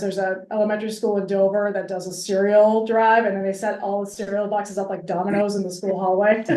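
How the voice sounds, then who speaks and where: Speaking at a fairly quick pace, a woman of medium pitch keeps a monotone, flat intonation. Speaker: nonprofit food pantry staff. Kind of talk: interview. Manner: fast.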